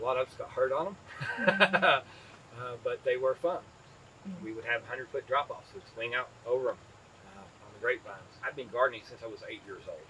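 A man at a fairly quick pace, with long, frequent pauses, big swings in loudness and light background noise. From East Tennessee, Appalachia. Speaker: farmer. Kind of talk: interview answer. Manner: casual, storytelling. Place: farm machine.

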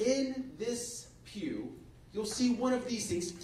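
A man at a very slow pace, with light background noise and audible room echo. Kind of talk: announcements to a congregation. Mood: friendly, lightly joking. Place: church.

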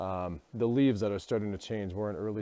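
Talking at a very fast pace, a man with a fairly low voice uses ordinary pitch variation, and the sound is dry with no echo. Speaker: vlogger photographer. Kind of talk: casual vlog chat. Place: forest. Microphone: earbuds.

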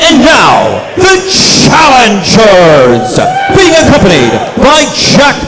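Loud background noise fills the recording. Over it, a man talks. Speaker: ring announcer. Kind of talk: wrestling ring announcement. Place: hall. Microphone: pa.

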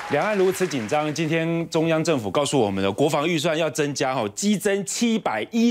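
Against a quiet background, a man with a Taiwanese accent speaks at a moderate pace, his fairly high pitch carried by lively intonation. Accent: Taiwanese Mandarin. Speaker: TV political talk show host. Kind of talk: political talk show commentary. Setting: TV studio. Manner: animated. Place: studio. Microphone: lapel.

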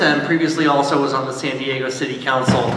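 A man speaks at a very fast pace, with light background noise and audible room echo. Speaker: panelist. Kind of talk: self-introduction to audience. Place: stage.

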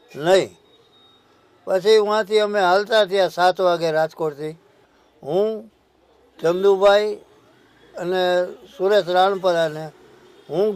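This man's voice sits high. Fairly even intonation runs through his speech. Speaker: former mayor and politician. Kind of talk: personal testimony.

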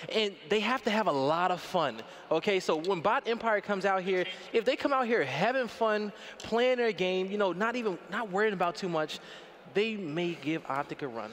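Over noticeable background noise, a man with a high pitch speaks at a moderate pace in an animated tone with lively intonation. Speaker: esports caster. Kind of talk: live commentary. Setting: stage with audience.

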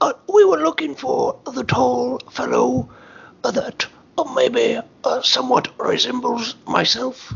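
A put-on character voice at a very slow pace. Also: man. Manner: cheerful, naive, silly.

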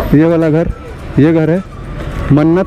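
A man's dark, mellow voice at a fairly high pitch, at a fairly slow pace, with faint background noise

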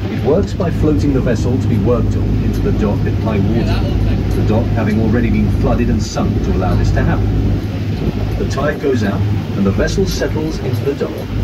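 Music playing behind a man talking at a fairly quick clip. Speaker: boat trip guide. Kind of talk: tour commentary. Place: boat.

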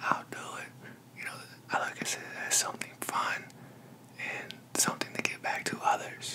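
Whispering, a man speaks at a moderate pace. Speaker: ASMR creator. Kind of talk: ASMR talk to camera. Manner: casual, friendly. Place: home room. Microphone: studio mic.

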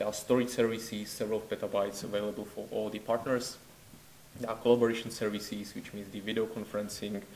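A man with a Czech accent speaks very fast in a fairly low, monotone, flat voice. Light background noise sits underneath. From Czech Republic. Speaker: network researcher. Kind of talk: conference presentation. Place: hall.

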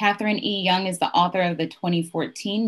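A woman talks in a fairly low pitch. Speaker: city council member hosting book festival; bookstore event host. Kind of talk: scripted introduction. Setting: video call. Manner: formal. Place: home room. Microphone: webcam.

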